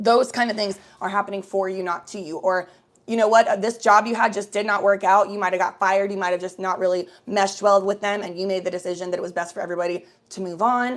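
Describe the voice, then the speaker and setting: A woman with an American accent talks at a very fast pace. Her medium-pitched voice has an animated tone. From Cincinnati, Ohio (US Midwest). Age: 20s. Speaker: livestreamer. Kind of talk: casual livestream chat. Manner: casual, animated.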